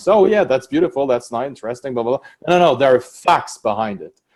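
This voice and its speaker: A man's fairly high-pitched voice in a very clean recording with a silent background. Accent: French. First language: French. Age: 40s. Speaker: prosecutor and law professor. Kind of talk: interview. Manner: halting.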